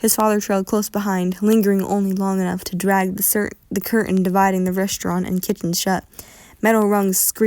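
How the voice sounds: The voice here is a natural reading voice.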